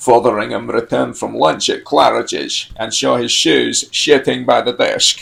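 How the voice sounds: A natural reading voice. The speech is delivered as a natural reading voice.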